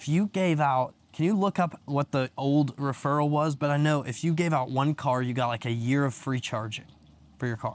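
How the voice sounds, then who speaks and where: A man with an ordinary speaking voice, fairly high in pitch, at a moderate pace with ordinary pitch variation, on a very clean recording with a silent background. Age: 20s. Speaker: real estate agent. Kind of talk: casual chat. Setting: outdoors.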